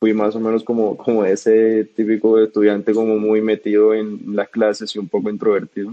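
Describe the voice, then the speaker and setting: A man with a fairly low pitch at a fairly slow pace. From Colombia, Bogotá. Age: 20s. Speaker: startup co-founder. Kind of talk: interview.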